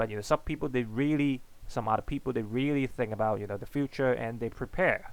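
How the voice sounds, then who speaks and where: A man with a non-native accent speaks very fast at medium pitch with ordinary pitch variation, on a very clean recording with a silent background. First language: not English. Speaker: economics teacher. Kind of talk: lecture. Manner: halting, many fillers and repetitions.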